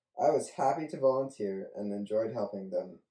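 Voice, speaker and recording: In a room with audible echo and a quiet background, a man speaks at a moderate pace with a dark, mellow tone. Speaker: college student. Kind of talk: reading aloud. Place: home room. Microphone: camera far.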